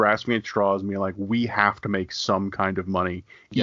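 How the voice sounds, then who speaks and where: The delivery moves at a fairly quick pace. Its intonation is monotone and flat. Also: man. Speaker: podcast co-host. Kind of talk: radio dj patter.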